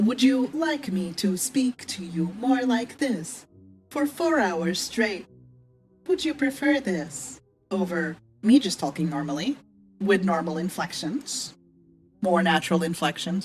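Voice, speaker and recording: In a put-on, robotic character voice that sounds female, the speaker delivers a deadpan tone at medium pitch and a fairly slow pace over faint background music. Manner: deadpan, mocking.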